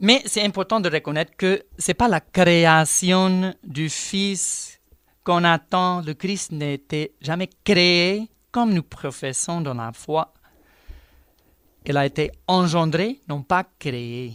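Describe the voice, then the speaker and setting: In a very clean recording with a silent background and a dry, close sound with no echo, a man speaks at a very slow pace in a high voice with ordinary pitch variation. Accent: American. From United States. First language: English (speaking French). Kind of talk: radio religious teaching.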